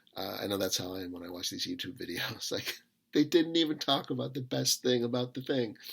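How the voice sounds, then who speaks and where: This man's voice has vocal fry and lively intonation, moving at a fairly quick pace. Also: medium pitch for a man. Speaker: book reviewer. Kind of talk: casual monologue review. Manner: halting, many fillers and repetitions; off the cuff.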